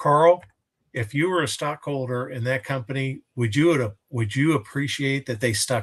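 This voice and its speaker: A man's speech is somewhat breathy, moving at a moderate pace with ordinary variation in pitch. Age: 60s. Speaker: co-host. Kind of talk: casual chat. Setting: live stream.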